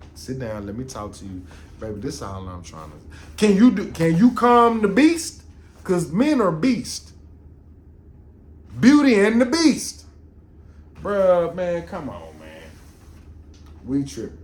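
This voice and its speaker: Audible room echo fills the space as a man speaks at a fairly slow pace, with long, frequent pauses and big swings in loudness. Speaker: podcast host. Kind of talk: casual podcast monologue. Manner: animated.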